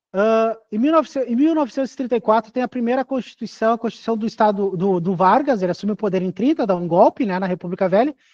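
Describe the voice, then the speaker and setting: Very fast speech with hardly any pauses against a quiet background. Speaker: teacher. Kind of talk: lecture. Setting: classroom with in-person students.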